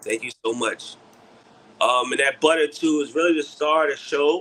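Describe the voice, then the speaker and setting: A man speaks in a New York accent. His pace is moderate and his pitch variation ordinary. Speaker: beard care product maker. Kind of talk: livestream product chat. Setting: livestream.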